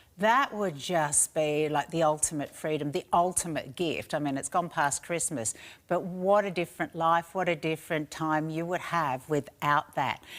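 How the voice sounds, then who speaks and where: A woman with an Australian accent, fairly low in pitch, at a moderate pace with ordinary pitch variation, on a very clean recording with a silent background. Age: 60s. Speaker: shopping channel presenter. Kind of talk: sales pitch.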